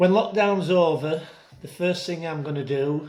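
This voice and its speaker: The room gives this recording an audible echo. The male speaker's pitch moves in a normal way. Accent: South Yorkshire. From northern England, Rotherham, South Yorkshire. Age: 60s. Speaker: entertainer and singer. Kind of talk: personal testimony. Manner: casual, hesitant with fillers.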